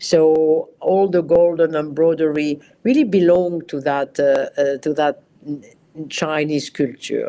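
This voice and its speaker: In a French accent, the speaker moves at a very slow pace with fairly even intonation. The tone is dark and mellow. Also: woman, very deep, low pitch for a woman. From France. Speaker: costume designer. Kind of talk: interview. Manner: halting.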